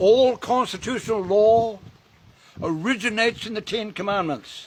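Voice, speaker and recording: Speaking at a moderate pace, a man uses a high pitch with ordinary pitch variation. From New Zealand, Māori. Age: 80s+. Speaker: Māori elder and activist. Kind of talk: speech to a gathering. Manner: impassioned.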